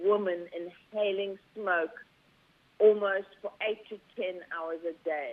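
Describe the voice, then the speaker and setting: A woman talks in a South African accent. Her pace is fairly slow. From South Africa, rural Zulu. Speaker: company founder. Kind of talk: interview.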